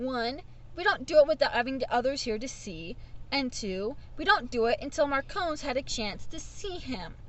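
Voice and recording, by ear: Growling in a put-on character voice at a moderate pace, a woman performs against clear background noise.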